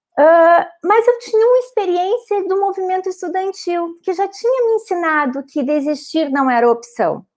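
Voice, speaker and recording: A woman with a strong Rio Grande do Sul accent, extremely high pitch, lively intonation, a moderate pace and hardly any pauses. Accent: strong gaúcho border. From southern Brazil, Rio Grande do Sul border region (São Borja). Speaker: lawyer, panelist. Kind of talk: panel talk, personal testimony. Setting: live-streamed online panel. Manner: halting, many false starts.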